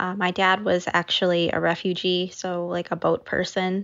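A woman with an American accent talks at a fairly slow pace in a normal speaking voice, her pitch medium. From US Midwest, Naperville, Illinois. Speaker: food blogger. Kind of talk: interview.

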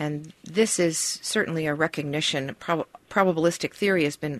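Over a quiet background, a woman speaks at a moderate pace in a very deep, low pitch with ordinary pitch variation. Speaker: speech technology researcher. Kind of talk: radio interview. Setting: radio studio.

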